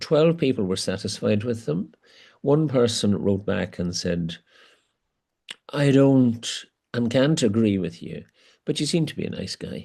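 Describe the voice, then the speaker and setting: In a Northern Irish accent, a man speaks at medium pitch with a dark, mellow tone. His pace is fairly slow, with long, frequent pauses against a quiet background. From Northern Ireland, border area. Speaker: archbishop. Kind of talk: interview conversation. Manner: hesitant, with many fillers.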